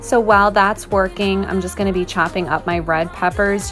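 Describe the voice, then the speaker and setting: A woman speaks at a very fast pace. Faint music plays in the background. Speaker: home cook vlogger. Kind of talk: tutorial voice-over.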